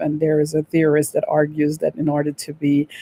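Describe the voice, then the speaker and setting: A woman's very deep, low voice with a dark, mellow tone and a Guyanese accent, in a dry, close recording with no echo. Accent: Guyanese accent, kept. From Guyana. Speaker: vlogger on relocation. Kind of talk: casual talk to camera. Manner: many fillers (um, uh).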